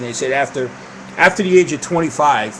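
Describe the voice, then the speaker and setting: With an East Coast US accent, a man talks using ordinary pitch variation over noticeable background noise. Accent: East Coast US accent, unchanged. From US East Coast. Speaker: video podcast host on diabetes. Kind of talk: casual live show talk. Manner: casual, meandering with fillers.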